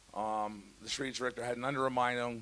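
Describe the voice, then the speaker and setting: A man's medium-pitched voice at a moderate pace. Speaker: ice hockey coach. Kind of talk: press conference. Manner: halting.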